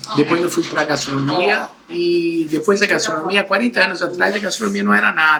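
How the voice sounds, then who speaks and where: Noticeable background noise sits behind a man who talks at a fairly quick pace, his pitch high and his intonation lively. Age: 60s. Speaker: entrepreneur, chocolate factory owner. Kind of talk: interview.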